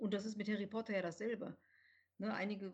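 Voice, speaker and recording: The voice is somewhat breathy with a dark, mellow tone. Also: woman. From Rhineland, near Cologne, Germany. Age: 40s. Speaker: author, journalist and editor. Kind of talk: podcast interview.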